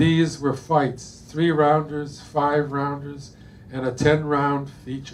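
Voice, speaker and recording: A man speaks at a very slow pace in a fairly high pitch with monotone, flat intonation. Noticeable background noise is present. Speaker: poet reading his own work, neurologist. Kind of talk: poetry reading. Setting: bookstore reading.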